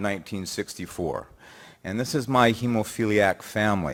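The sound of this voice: At a moderate pace, a man speaks with a fairly bright tone.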